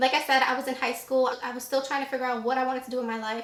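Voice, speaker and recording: A woman talks in an animated tone at a high pitch. Noticeable background noise and audible room echo fill the recording. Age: 20s. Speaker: beauty YouTuber. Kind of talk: casual Q&A vlog.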